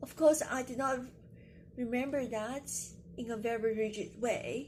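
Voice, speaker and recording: A woman with a Chinese accent speaks at a fairly slow pace, with a high pitch and fairly even intonation. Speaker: poet and video creator. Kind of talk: casual explainer vlog. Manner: halting, with fillers.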